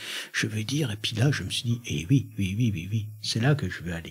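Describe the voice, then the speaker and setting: Speaking at a moderate pace, a man with a fairly low pitch uses ordinary pitch variation. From Franche-Comté, eastern France. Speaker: poet and performer. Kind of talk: radio interview. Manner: hesitant, many fillers and restarts.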